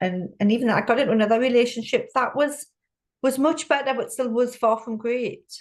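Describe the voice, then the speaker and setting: A woman talks at a fairly quick pace, somewhat breathy, with ordinary pitch variation. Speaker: business growth coach. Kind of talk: interview. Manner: halting, repeats words.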